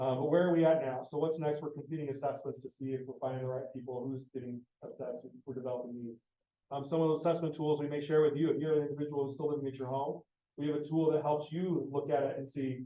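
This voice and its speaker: A man's fairly high voice at a very fast pace. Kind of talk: presentation to parents. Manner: animated.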